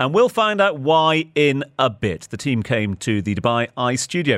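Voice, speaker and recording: Recorded with a dry, close sound and no echo, a man speaks at a moderate pace with very wide pitch swings. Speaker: radio host. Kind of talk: radio DJ patter: live chat and link-ins on a Christmas Eve radio show. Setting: studio.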